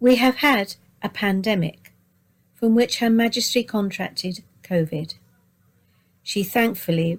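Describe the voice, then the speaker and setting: Somewhat breathy, a woman speaks fairly slowly at medium pitch with ordinary pitch variation and long, frequent pauses. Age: 70s. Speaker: narrator. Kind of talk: reading aloud. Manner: formal.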